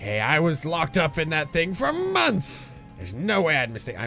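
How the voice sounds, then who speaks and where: Using a put-on character voice, a man with a fairly high pitch speaks at a moderate pace while clear music plays in the background. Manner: indignant.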